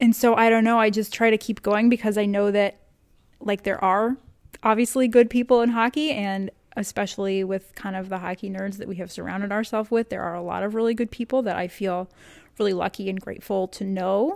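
With an American accent and an ordinary speaking voice, a woman of medium pitch talks at a fairly quick pace with fairly even intonation, on a very clean recording with a silent background. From Texas. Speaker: data analyst and hockey data visualizer. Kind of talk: casual interview.

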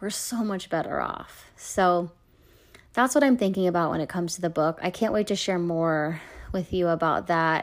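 At a moderate pace, a woman speaks in a fairly low voice with an animated tone and ordinary pitch variation. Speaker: therapist and podcast host. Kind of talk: casual solo podcast monologue. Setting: home playroom, recording alone. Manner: animated, laughs often, light-hearted.

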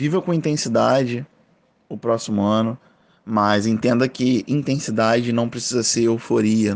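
A medium-pitched man over a quiet background. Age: 30s. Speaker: podcast host. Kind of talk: casual monologue. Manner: casual.

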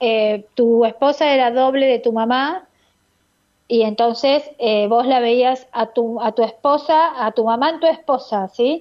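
The woman's pitch is high and her loudness very even. She talks at a very slow pace with ordinary pitch variation. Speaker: radio host and biodecoding therapist. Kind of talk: radio call-in advice show. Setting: radio studio.

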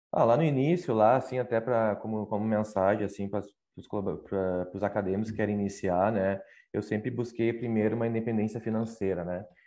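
Against a quiet background, a man with fairly low pitch and a dark, mellow tone keeps his intonation fairly even. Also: fairly quick pace. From southern Brazil, Canoas (Rio Grande do Sul). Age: 30s. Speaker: operations executive. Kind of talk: interview.

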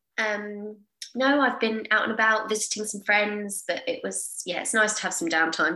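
A woman's fairly high voice with ordinary pitch variation and a southern English accent. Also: moderate pace. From Portsmouth, southern England. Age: 30s. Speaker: personal trainer. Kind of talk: interview.

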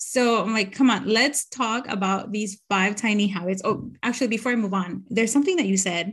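A somewhat breathy woman speaks at a fairly high pitch with ordinary pitch variation. She moves at a fairly quick pace with hardly any pauses. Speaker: podcast host. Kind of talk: casual interview chat.

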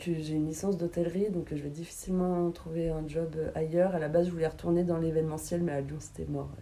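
With hardly any pauses, a woman of fairly low pitch rushes at a very fast pace in a monotone, flat intonation. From Paris region, Val d'Oise. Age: 30s. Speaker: interviewee, former hospitality worker, tax inspector. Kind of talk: casual interview.

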